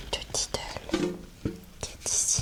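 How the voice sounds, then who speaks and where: Someone is whispering. Music plays in the background. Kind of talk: ASMR show-and-tell. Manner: soft-spoken.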